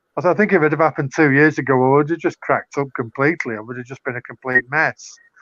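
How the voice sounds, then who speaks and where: A Manchester accent at a very fast pace, with ordinary pitch variation. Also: man, fairly high pitch for a man. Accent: northern English (Mancunian). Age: 60s. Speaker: poet and author, former cult member. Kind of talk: casual interview chat.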